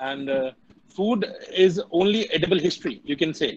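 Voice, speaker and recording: Over a quiet background, a man with an Indian accent speaks at a high pitch and moderate pace with ordinary pitch variation. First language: Hindi. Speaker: guest speaker, tourism alumnus. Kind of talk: online talk. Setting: video call. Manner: animated. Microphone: video call.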